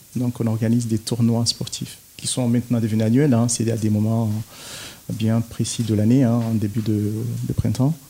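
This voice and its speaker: This man's medium-pitched voice moves at a moderate pace, its intonation monotone and flat. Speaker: community association president. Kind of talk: radio interview.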